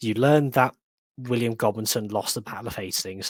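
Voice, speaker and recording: With a West Midlands accent, a man talks at a fairly quick pace in a fairly low pitch. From West Midlands, England. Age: 20s. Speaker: history enthusiast. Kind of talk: casual chat.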